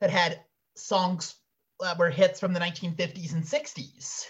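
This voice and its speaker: Moving at a moderate pace, a man's voice makes very wide pitch swings. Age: 20s. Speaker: podcast co-host. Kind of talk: casual chat.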